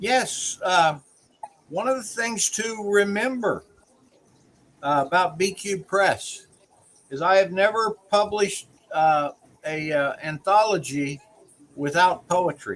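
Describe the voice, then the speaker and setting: In a Southern US accent, the speaker talks at a very slow pace with long, frequent pauses. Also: man, high pitch for a man, ordinary pitch variation. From US South. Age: 60s. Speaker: small-press publisher and show host. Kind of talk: casual interview chat.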